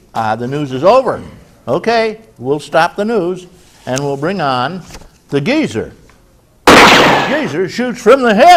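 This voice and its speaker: A high-pitched man with an American accent speaks at a fairly slow pace, leaving long, frequent pauses. His pitch swings very widely. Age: 70s. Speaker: senior community TV host. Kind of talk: community news reading. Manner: halting.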